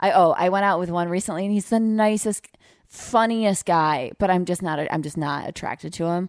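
A woman with an American accent, fairly low pitch and ordinary pitch variation, at a moderate pace in a very clean recording with a silent background. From upstate New York (Utica area). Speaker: comedian and dating podcast co-host. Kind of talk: casual chat.

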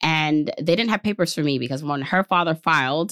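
A woman's very deep, low voice, with a dry, close sound, no echo, and a very clean recording with a silent background. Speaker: personal finance podcaster and author. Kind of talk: interview conversation.

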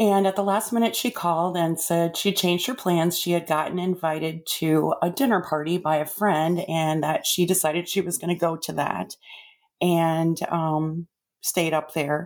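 A woman with an unremarkable speaking voice, fairly low in pitch, talks at a moderate pace with fairly even intonation. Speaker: mother of the host. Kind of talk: personal testimony.

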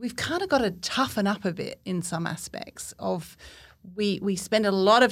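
A woman with vocal fry speaks at a medium pitch and moderate pace, with ordinary pitch variation. The recording is very clean, with a silent background. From Cornwall, England. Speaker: business owner. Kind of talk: casual chat.

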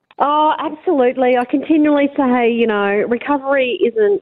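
An Australian accent from a woman, high in pitch, at a moderate pace. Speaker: mayor. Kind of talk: radio interview. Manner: upbeat.

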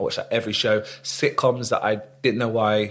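Here is a man speaking. He talks with a London accent. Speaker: actor. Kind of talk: casual chat.

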